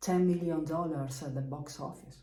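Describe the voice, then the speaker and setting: A woman with a strong Lombard accent speaks in a very deep, low pitch, her somewhat breathy voice dark and mellow in tone amid audible room echo. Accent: strong Bergamo Italian. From northern Italy, Bergamo. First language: Italian. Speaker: musician, double bass player. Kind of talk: casual explainer video about music history. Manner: slow, hesitant with many fillers.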